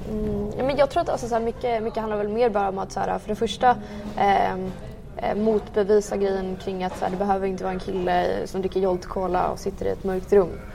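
Against noticeable background noise, a woman's words come at a fairly quick pace. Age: 20s. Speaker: tech and finance professional. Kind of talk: casual interview. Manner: halting, many fillers.

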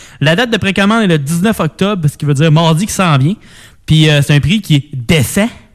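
With an unremarkable speaking voice, a man talks fairly quickly at a fairly high pitch, his intonation lively and his loudness very even. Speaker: radio co-host, music and gaming news. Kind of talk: casual chat.

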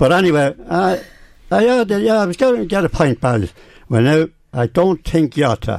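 A man's fairly high voice in a rural Irish accent, with very wide pitch swings. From Ireland, County Meath near Navan. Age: 80s+. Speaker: veteran amateur cyclist. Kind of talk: radio interview. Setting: radio studio. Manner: halting.

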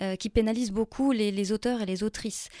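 Recorded very cleanly with a silent background and a dry, close sound with no echo, a woman speaks at a medium pitch in a dark, mellow tone with ordinary pitch variation. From Morocco (Tan-Tan, south). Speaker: poet. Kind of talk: interview. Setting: studio.

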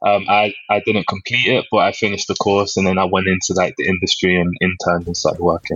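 A man with a London accent speaks at a fairly low pitch in a flat, monotone delivery. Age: 20s. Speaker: fashion designer. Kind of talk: interview. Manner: halting, many fillers.

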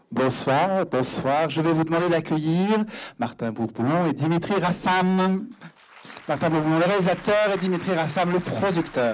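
Speech comes at a fairly slow pace. Noticeable background noise sits behind it. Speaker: event moderator. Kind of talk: post-screening Q&A. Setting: stage with audience.

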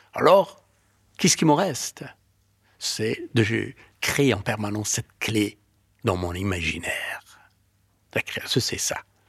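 At a very slow pace with long, frequent pauses, a man speaks in a medium-pitched, somewhat breathy voice with lively intonation on a very clean recording with a silent background. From Afghanistan. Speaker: novelist and filmmaker. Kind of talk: personal testimony.

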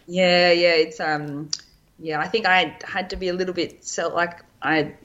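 A woman with an Australian accent. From Australia, Lake Macquarie NSW. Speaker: physiotherapist and elite runner. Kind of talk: interview conversation.

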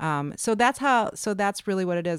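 In a very clean recording with a silent background and a dry, close sound with no echo, a woman with an American accent uses an unremarkable speaking voice, ordinary pitch variation and a moderate pace. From US Midwest, Chicago suburbs. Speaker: novelist. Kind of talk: casual interview.

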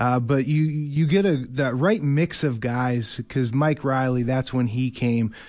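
With a plain, everyday voice, a man speaks at a medium pitch and fairly even intonation against a quiet background. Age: 30s. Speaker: former pro football player. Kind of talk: sports radio interview.

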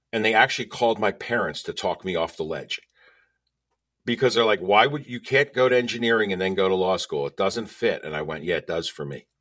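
A man's normal speaking voice at medium pitch, fairly quick and with lively intonation, in a very clean recording with a silent background. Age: 60s. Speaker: author and speaker, former criminal defense lawyer. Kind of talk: casual interview chat.

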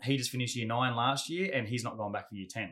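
Speaking with an Australian accent, a man uses a medium pitch, ordinary pitch variation and a bright, sharp tone. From Australia, Gold Coast. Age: 40s. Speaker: Muay Thai fighter and adventure athlete. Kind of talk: casual interview chat.

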